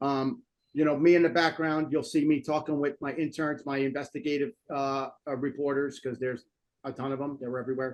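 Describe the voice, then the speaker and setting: A man with a New Jersey accent speaks at a fairly quick pace in a fairly high pitch. His intonation stays fairly even, and the background is quiet. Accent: New Jersey American. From North Jersey, US. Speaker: political commentary show host. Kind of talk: casual talk show chat. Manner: halting with many fillers.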